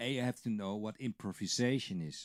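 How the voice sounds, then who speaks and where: In a Dutch accent, the voice comes across with a dry, close sound and no echo. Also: man, very clean recording, silent background. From Netherlands. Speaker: drum teacher. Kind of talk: tutorial. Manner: casual, conversational with fillers.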